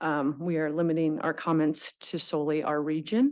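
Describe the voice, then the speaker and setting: A shaky woman's voice at a very slow pace over a quiet background. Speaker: nonprofit representative testifying at public hearing. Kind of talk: public testimony. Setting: public board meeting room. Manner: shaky, hesitant with many fillers.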